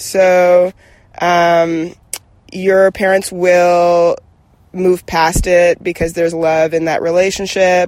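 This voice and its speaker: With music in the background, a woman speaks in a monotone with flat intonation and a fairly low pitch. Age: 30s. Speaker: advice guest. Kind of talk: casual advice chat.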